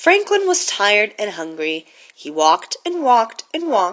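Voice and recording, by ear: Someone reads aloud in a natural voice.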